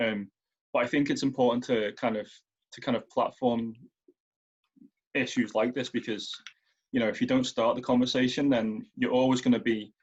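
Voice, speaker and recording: Monotone, flat intonation in a Merseyside accent, broken by long, frequent pauses. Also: man, medium pitch for a man, moderate pace. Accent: relatively soft Merseyside. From Merseyside, England. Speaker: writer and editor. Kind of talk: panel discussion.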